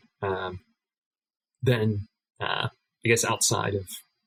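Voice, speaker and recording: With an American accent, a man speaks at a moderate pace and fairly low pitch, somewhat breathy and monotone, in a dry, close sound with no echo. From United States. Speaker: card game player. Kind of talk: podcast interview.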